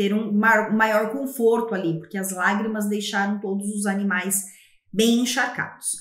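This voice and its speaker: A woman at a fairly slow pace, with noticeable background noise and audible room echo. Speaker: literature teacher. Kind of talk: lecture.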